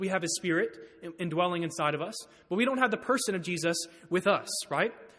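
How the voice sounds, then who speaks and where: A man speaks at a high pitch. His pitch varies in an ordinary way. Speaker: preacher. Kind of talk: sermon. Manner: fast; halting.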